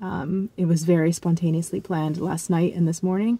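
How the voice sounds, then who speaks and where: A woman speaks in a dark, mellow tone. Her pace is moderate. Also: dry sound with no echo. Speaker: vlogger. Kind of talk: casual vlog chat. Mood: relaxed, reflective. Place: car. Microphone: phone near.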